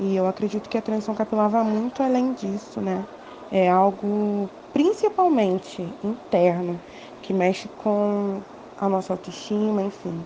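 Noticeable background noise sits behind a woman's medium-pitched voice. She speaks at a fairly slow pace with fairly even intonation. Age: 20s. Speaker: law student. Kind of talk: interview.

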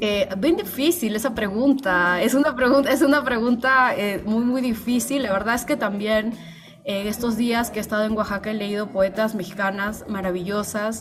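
A woman with a fairly high pitch and ordinary pitch variation speaks at a moderate pace against noticeable background noise. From Peru. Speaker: writer and translator. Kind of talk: interview.

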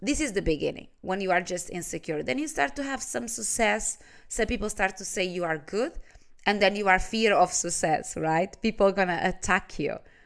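Lively intonation marks this woman's medium-pitched voice as she talks at a moderate pace against a quiet background. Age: 30s. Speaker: life and business coach, podcast host. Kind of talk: motivational monologue. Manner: animated.

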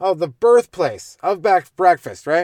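Recorded very cleanly against a silent background, this voice with a Canadian accent has a dry, close sound with no echo. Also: man. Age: 30s. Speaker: comedian. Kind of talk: casual chat. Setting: in a car.

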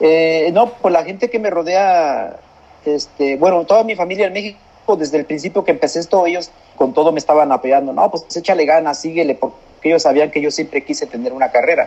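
The man's voice is high-pitched yet dark and mellow in tone. He talks fairly quickly with ordinary pitch variation. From central Mexico, San Juan del Río (Querétaro). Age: 40s. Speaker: migrant worker and distance-learning university graduate. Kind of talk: interview. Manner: halting, many repeated words.

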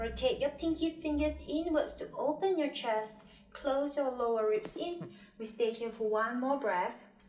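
A high-pitched woman speaks with lively intonation over music in the background. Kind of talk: guided yoga class with breath cues and meditation. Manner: calm, soothing, unhurried, gently instructive; rhythmic cueing, short commands paced with the breath.

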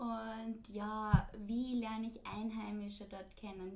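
With noticeable background noise behind her, a woman speaks fairly slowly in a fairly high, monotone voice with flat intonation. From Austria, Linz. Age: 20s. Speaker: podcast host, former au pair, student. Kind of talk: casual chat.

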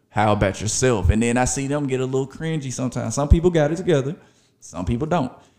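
Here a man with a Memphis accent talks at a very fast pace. His medium-pitched voice has a dark, mellow tone and lively intonation. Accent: US Southern, Memphis. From Memphis, Tennessee. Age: 30s. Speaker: podcast host. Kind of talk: casual monologue.

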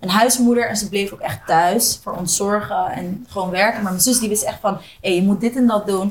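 Over noticeable background noise, a woman speaks at a moderate pace with a fairly high pitch and fairly even intonation. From Zoetermeer / The Hague area, Netherlands. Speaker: DJ and entrepreneur. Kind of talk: casual interview chat.

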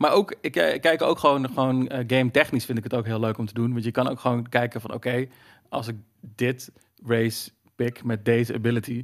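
A man speaks in a normal speaking voice of medium pitch. His intonation is fairly even and his pace fairly quick. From Netherlands, Zeeland. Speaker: dungeon master. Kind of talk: casual chat.

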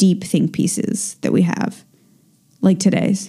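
A woman's somewhat breathy voice with a dark, mellow tone, at a fairly slow pace. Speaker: true crime podcast host. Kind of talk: casual monologue. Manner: slurring words.

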